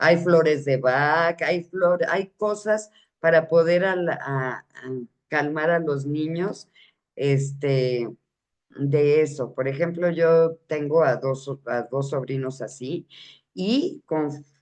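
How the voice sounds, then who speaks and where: At a very slow pace, a woman speaks in a very deep, low pitch with ordinary pitch variation. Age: 60s. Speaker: parenting talk host. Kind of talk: informal talk to parents. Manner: halting, with fillers and self-corrections.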